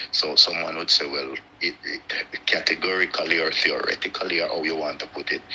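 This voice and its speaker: Noticeable background noise runs under this man's voice. He talks at a fairly quick pace. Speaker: live stream guest. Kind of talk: casual chat.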